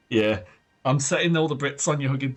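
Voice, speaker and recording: A man talks at a fairly high pitch. Music plays in the background. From Britain. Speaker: streamer. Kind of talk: live gameplay commentary. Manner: animated.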